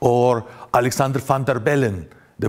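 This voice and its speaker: Speaking at a fairly slow pace, a man talks in a Russian accent. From Russia (Grozny, Chechnya). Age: 40s. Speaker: journalist. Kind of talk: conference talk. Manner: halting, many fillers.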